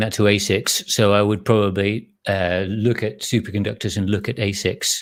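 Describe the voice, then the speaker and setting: In a very clean recording with a silent background, a man with an English accent speaks at a fairly low pitch. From England. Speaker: live stream host, chip design educator. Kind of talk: live stream chat reading viewer comments. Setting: live stream. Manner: casual, halting with restarts.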